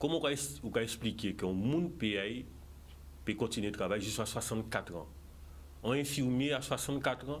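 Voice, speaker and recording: At a moderate pace, a man of medium pitch uses very wide pitch swings and vocal fry. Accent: Guadeloupean. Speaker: political candidate. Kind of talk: TV interview. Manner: animated.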